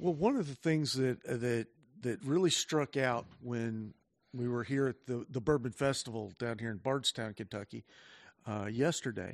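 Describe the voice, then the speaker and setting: With a normal speaking voice, a man talks at a moderate pace and medium pitch, with ordinary pitch variation. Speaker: podcast host. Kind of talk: casual chat with tasting.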